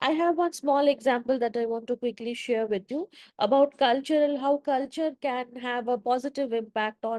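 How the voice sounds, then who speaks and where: A woman with a Bengali accent speaks at a moderate pace in a high pitch with ordinary pitch variation, her sound dry and close with no echo. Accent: Indian English (Bengali). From eastern India (Bengal). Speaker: event host / moderator. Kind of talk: panel interview dialogue. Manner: halting, many fillers.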